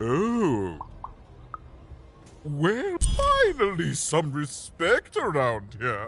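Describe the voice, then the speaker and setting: Putting on a pompous character voice at a fairly high pitch, a man speaks very slowly with long, frequent pauses, with clear background noise behind him. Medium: video game. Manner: pompous, haughty.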